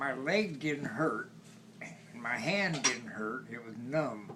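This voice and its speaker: The speaker is a man with an American accent. He talks at a very slow pace against noticeable background noise. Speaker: World War II Marine veteran. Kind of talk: interview answer.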